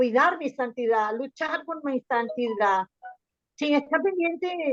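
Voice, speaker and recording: A woman speaks very slowly at a high pitch. The sound is dry and close with no echo. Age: 60s. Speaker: church member sharing testimony. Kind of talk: testimony in group Bible study. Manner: halting, many repetitions.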